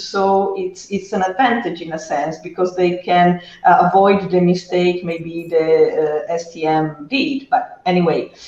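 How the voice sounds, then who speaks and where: Someone with an Italian accent speaks at a fairly slow pace over noticeable background noise. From Italy. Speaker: data trainer. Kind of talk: panel discussion. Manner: halting.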